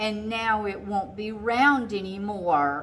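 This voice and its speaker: Using a put-on character voice, a female-sounding speaker talks at a fairly slow pace in a medium pitch. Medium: read story.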